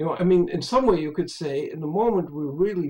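Over a quiet background, a man with a high pitch talks with lively intonation. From Europe. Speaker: spiritual speaker; speaker. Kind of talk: interview conversation. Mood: reflective, earnest. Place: home room. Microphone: webcam.

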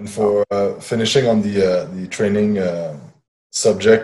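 A man's fairly low-pitched voice with a Quebec accent, dark, mellow tone, fairly even intonation and fairly slow pace over a quiet background. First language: French. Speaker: podcast host and fitness trainer; podcast host, fitness trainer. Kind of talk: interview. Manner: halting. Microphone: earbuds.

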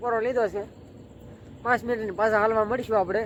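This man's voice sits high in pitch. He delivers everything in a monotone with flat intonation. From Gujarat, Bhavnagar district. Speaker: vlogger. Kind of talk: travel vlog narration. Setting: outdoors, walking on pilgrimage.

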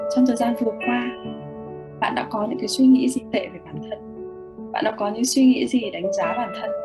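A woman speaks at a fairly quick pace with clear music playing in the background. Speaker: meditation and mirror-work guide, live host. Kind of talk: guided meditation / self-love mirror work, live stream. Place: home room. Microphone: webcam.

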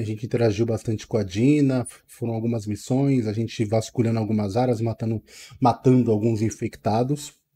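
A man speaks in a dark, mellow tone. There is a somewhat breathy quality to it. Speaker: gaming channel host. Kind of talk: casual vlog chat. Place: home room. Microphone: headset.

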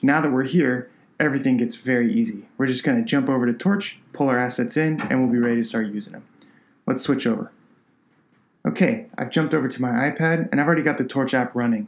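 Speaking at a very fast pace, a man with a medium pitch carries an upbeat tone. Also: ordinary pitch variation. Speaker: product designer. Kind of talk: software tutorial. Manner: casual and upbeat.

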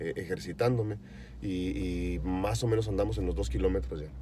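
There is light background noise as a man speaks, the sound dry with no echo. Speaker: vlogger on a fitness journey. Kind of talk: casual vlog chat. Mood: upbeat, grateful. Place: car. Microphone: phone near.

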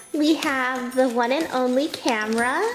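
A woman's high-pitched voice at a very slow pace, with faint music in the background. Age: 20s. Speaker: youtuber. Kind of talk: unboxing vlog. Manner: animated. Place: home room.

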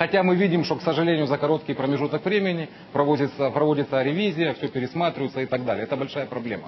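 Very fast speech from a man with a fairly high pitch, against noticeable background noise. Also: ordinary pitch variation. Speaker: opposition politician. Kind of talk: heated debate.

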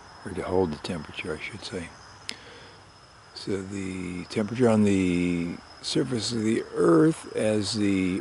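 At a fairly slow pace, a soft-spoken man speaks with a fairly low pitch and ordinary pitch variation, the sound dry with no echo and light background noise present. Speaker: publisher and editor. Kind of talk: ASMR nature commentary. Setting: outdoors. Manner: soft-spoken, slow. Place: open country.

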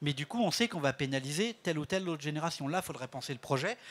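A man talks in a normal speaking voice with ordinary pitch variation. His pitch sits fairly high. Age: 60s. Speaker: director of a senior-friendly cities network; panel expert. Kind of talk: panel interview. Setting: stage with audience. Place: stage. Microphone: handheld.

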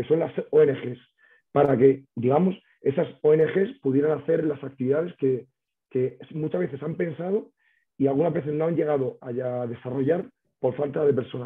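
The man keeps a moderate pace and ordinary pitch variation, with a quiet background behind him. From Spain. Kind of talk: webinar presentation. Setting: video call. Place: home room. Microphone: video call.

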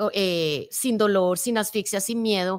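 In a plain, everyday voice, a woman speaks at medium pitch and a moderate pace, her intonation fairly even over a quiet background. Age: 50s. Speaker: motivational speaker. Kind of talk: interview. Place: studio. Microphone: studio mic.

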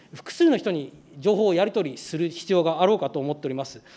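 This man's voice sits at a high pitch with a dark, mellow tone. His intonation is lively. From Saga Prefecture, Japan; Japan. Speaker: legislator. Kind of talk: parliamentary questioning. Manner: formal. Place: hall. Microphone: podium.

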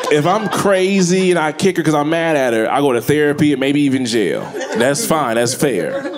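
Noticeable background noise sits behind a man's voice. He speaks at a fairly quick pace with a fairly high pitch and lively intonation. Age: 40s. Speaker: stand-up comedian. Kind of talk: stand-up comedy routine about parenting, with storytelling and crude jokes. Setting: stage with audience. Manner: animated, conversational, punchy storyteller with frequent self-laughter. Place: stage. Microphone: handheld.

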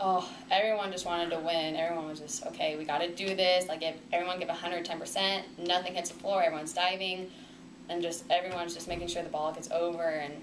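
A woman speaks at a fairly quick pace in a fairly low pitch. Her intonation stays fairly even, with noticeable background noise. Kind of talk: interview answer. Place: meeting room.

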